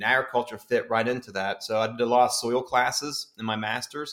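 This is a man's voice at a medium pitch. He speaks with an American accent. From West Virginia. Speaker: county extension agent. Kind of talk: educational interview. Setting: studio, sharing a mic with host.

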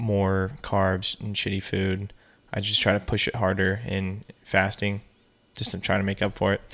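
On a very clean recording with a silent background, a man with an unremarkable speaking voice talks at a fairly low pitch and a moderate pace. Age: 20s. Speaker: podcast co-host. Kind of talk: casual chat.

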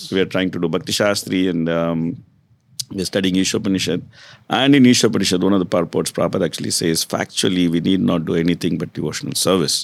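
A man with an Indian accent, a very deep, low pitch and a very fast pace. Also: ordinary pitch variation. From South India, Tamil Nadu (Kumbakonam). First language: Saurashtra. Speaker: hospital and development manager. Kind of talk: interview. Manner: frequent hesitations (uh, um).

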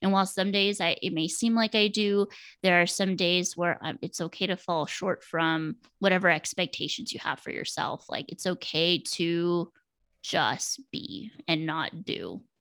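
A normal speaking voice with an American accent, fairly slow and fairly even in intonation, on a very clean recording with a silent background. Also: woman, fairly low pitch for a woman. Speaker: mental health counselor. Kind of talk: casual interview.

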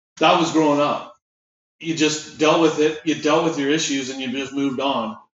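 A man's fairly high voice with audible room echo. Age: 40s. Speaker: podcast co-host. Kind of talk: casual chat.

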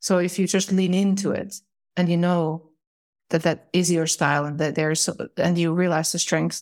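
A woman at a moderate pace with a Finnish accent, fairly low in pitch, with ordinary pitch variation. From Finland. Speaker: corporate manager. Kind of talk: casual chat. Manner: halting.

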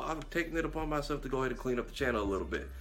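Noticeable background noise fills the clip. Over it, a man delivers his words at a very fast pace. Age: young. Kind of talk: casual chat.

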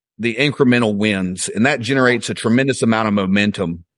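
A man with a Southern US accent at a fairly quick pace, ordinary pitch variation, quiet background. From Alabama, US South. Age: 30s. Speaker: fitness coach and real estate agent. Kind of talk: interview.

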